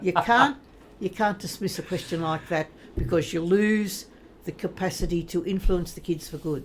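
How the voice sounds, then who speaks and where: With an Australian accent, a woman speaks at a fairly low pitch and ordinary pitch variation. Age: 80s+. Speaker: retired teacher and religious sister. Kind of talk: podcast interview answer. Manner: quick-witted, lively.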